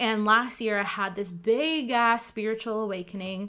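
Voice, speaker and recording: In a very clean recording with a silent background, a woman with a Canadian accent speaks at a fairly high pitch in a bright, sharp tone with ordinary pitch variation. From Ottawa, Canada. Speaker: life coach and podcast host. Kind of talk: solo monologue podcast. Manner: animated.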